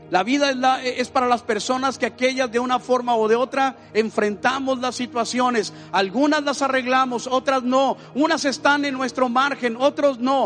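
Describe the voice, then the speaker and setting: A man with an extremely high pitch talks at a moderate pace with hardly any pauses and fairly even intonation, amid noticeable background noise. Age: 60s. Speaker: pastor. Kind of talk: sermon.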